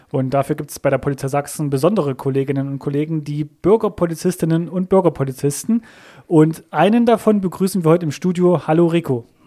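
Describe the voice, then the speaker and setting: A man's fairly high-pitched voice with a dark, mellow tone, very fast pace and ordinary pitch variation. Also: very clean recording, silent background. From Thuringia. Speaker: podcast host. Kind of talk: interview. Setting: studio.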